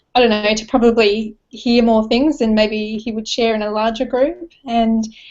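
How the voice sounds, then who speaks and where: In an Australian accent, a woman with a fairly high pitch speaks at a moderate pace in a monotone, flat way. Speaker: team member of online business. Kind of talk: casual interview.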